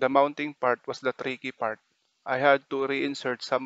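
A man speaks in a monotone, flat intonation at a moderate pace and medium pitch. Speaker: tech YouTuber. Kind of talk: tutorial.

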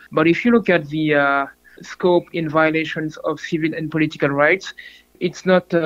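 An unremarkable speaking voice belongs to a man who talks at a moderate pace with a fairly high pitch and fairly even intonation. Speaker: human rights researcher. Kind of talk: interview.

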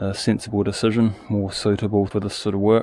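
With light background noise and a dry sound with no echo, a man speaks at a moderate pace in a fairly low pitch with fairly even intonation. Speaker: hobby tractor owner. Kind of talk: casual vlog chat. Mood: relaxed, matter-of-fact. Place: open country. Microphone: phone near.

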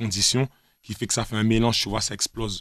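Speaking very fast in a fairly low pitch, a man keeps a flat, monotone intonation, with a dry sound free of echo and a quiet background. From Guadeloupe. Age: 20s. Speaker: rapper; interviewee. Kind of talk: casual interview. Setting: radio studio. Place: studio. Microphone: studio mic.

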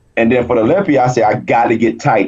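A man speaks at a medium pitch with a dark, mellow tone and an American accent. The background is quiet. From US South, South Carolina. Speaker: wheelchair bodybuilding champion; interview guest. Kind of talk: interview. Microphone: video call.

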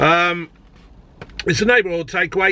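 At a moderate pace, a man speaks in a raised, projected voice, and the sound is dry with no echo. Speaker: food reviewer. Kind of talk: casual vlog chat. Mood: jokey, chatty. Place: car. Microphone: phone near.

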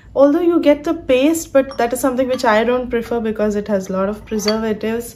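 A woman with lively intonation. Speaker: student vlogger. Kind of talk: casual vlog tutorial. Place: home room. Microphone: phone near.

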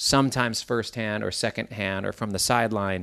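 Here is an unremarkable speaking voice from a man at medium pitch. He talks at a moderate pace with fairly even intonation over a quiet background. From US Midwest, Minneapolis. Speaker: guitarist and bandleader. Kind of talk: interview.

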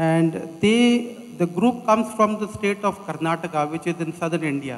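A man's words come at a very slow pace, showing ordinary pitch variation. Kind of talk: formal speech. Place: stage. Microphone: handheld.

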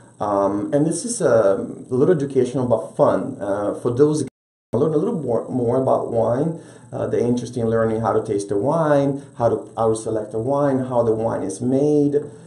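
With an Italian accent, a man speaks with ordinary pitch variation against a quiet background that carries audible room echo. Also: moderate pace. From Italy, Rome. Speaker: restaurant owner; guest. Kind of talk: interview. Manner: animated. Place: studio.

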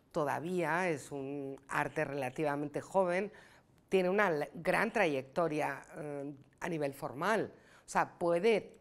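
Pitch shifts in an ordinary way throughout. The pace is very slow. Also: woman. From Spain, Granada (Andalusia); Andalusia, Spain. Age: 60s. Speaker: film director. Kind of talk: press interview. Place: meeting room.

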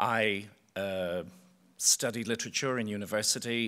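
In an Irish accent, a man speaks with a fairly low pitch, ordinary pitch variation and a bright, sharp tone. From Ireland. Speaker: choreographer. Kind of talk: panel talk. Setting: stage with audience. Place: stage. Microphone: podium.

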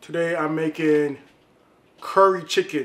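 A man with a high pitch speaks with fairly even intonation. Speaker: home cook vlogger. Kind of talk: casual cooking vlog chat. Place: kitchen. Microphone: camera far.

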